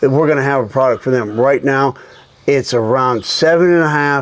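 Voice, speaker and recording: A man with an ordinary speaking voice and a medium pitch. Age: 60s. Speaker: golf club company founder. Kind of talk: casual chat. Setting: tour van.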